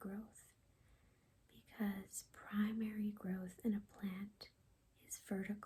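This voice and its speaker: Soft-spoken and somewhat breathy, the voice has a dark, mellow tone and monotone, flat intonation. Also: woman. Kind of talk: ASMR reading of biology definitions. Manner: soft-spoken, calming.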